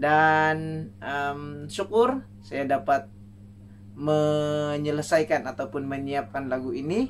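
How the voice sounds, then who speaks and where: Faint music plays in the background as a man talks at a very slow pace. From Sabah, Malaysia (Ranau); Sabah. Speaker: songwriting contest entrant. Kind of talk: self-introduction video. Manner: casual, with fillers. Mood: warm, smiling. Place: home room. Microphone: camera far.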